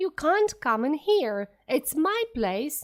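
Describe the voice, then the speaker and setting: A woman's put-on character voice, shrill and high-pitched, at a very slow pace with very wide pitch swings. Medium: read story. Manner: rude, possessive.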